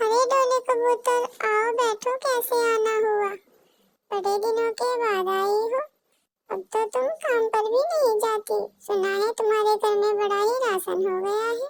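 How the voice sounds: A woman puts on a cartoonish character voice at an extremely high pitch. Her loudness is very even and her intonation fairly even. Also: moderate pace.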